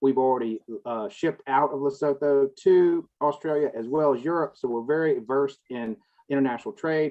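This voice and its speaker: This man has a Southern US accent and a fairly high pitch. He talks at a moderate pace with fairly even intonation. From US South. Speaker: cannabis industry consultant. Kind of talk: panel discussion.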